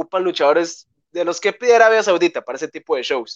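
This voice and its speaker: Talking at a fairly quick pace, a man with a Costa Rican accent has a high pitch. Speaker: wrestling news show host. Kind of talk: casual chat.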